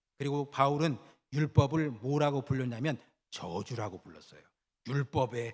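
Somewhat breathy, this voice moves at a moderate pace with ordinary pitch variation and big swings in loudness. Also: man. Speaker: pastor. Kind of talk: sermon. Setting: church.

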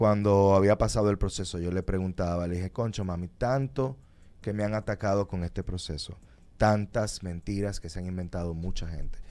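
Here a man uses an ordinary speaking voice at a fairly low pitch, with fairly even intonation and a moderate pace. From Dominican Republic. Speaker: lawyer. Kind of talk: radio interview. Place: studio. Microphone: studio mic.

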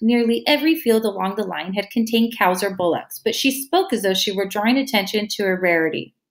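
Reading in an unforced voice.

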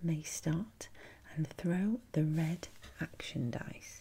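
A soft-spoken woman talks very slowly with a fairly low pitch and a dark, mellow, somewhat breathy tone. Light background noise can be heard. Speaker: ASMR creator. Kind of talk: ASMR role-play as a board game shop assistant, reading game instructions. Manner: soft-spoken, rambling. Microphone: studio mic.

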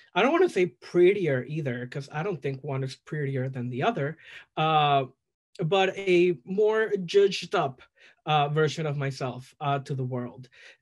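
In a Spanish accent, a somewhat breathy man speaks at a fairly high pitch against a quiet background. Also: ordinary pitch variation, moderate pace. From El Salvador. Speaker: drag performer. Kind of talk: casual chat. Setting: video call. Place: home room. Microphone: video call.

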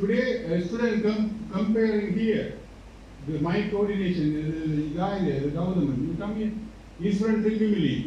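With a Sri Lankan accent, a man talks at a moderate pace and a high pitch, with ordinary pitch variation. Strong room echo and light background noise are on the recording. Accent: Sri Lankan Tamil English. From Sri Lanka, Jaffna. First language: Tamil. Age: 60s. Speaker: university vice chancellor. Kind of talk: ceremonial speech. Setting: stage with audience. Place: hall.

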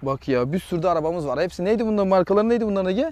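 An animated tone comes through in a dry recording with no echo. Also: man. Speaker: real estate agent; property seller. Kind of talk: property tour video; casual property tour talk. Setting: outdoors. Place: garden.

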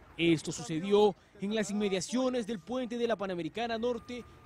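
A man speaks at a moderate pace in a high pitch with ordinary pitch variation. Noticeable background noise sits behind him. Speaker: TV news reporter. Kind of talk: news narration.

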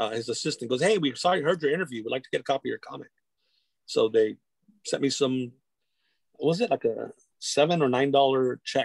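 A man speaks at a fairly quick pace with a fairly high pitch and ordinary pitch variation, leaving long, frequent pauses. The sound is dry with no echo, and the background is quiet. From Whittier, near Los Angeles, California; California. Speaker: comic book creator and arts educator; comic book creator, guest. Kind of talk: casual chat. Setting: video call. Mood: warm, reflective. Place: home room. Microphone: video call.

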